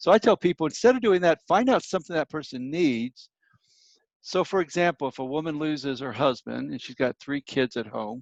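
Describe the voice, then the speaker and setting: In an ordinary speaking voice, a man with a fairly high pitch talks at a fairly quick pace with lively intonation and big swings in loudness. The sound is dry and close with no echo, over a quiet background. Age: 60s. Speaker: minister and grief counselor. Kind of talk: interview.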